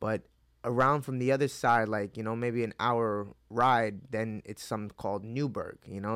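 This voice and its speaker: A man with a normal speaking voice, fairly low in pitch, at a moderate pace, in a very clean recording with a silent background. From upstate New York (Hudson Valley), born in Mexico. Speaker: MMA fighter. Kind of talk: casual interview chat. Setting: in-person studio interview.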